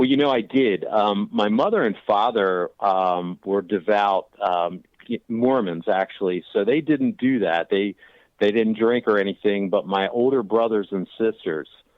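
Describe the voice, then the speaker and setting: At a fairly slow pace, a man with an American accent and a plain, everyday voice speaks at a fairly low pitch, with ordinary pitch variation and very even loudness. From Washington DC area. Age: 40s. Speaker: recovering addict. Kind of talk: interview.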